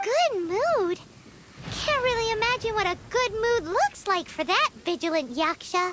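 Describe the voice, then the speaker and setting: A put-on character voice at an extremely high pitch delivers the lines at a moderate pace. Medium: video game. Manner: cheeky, chatty.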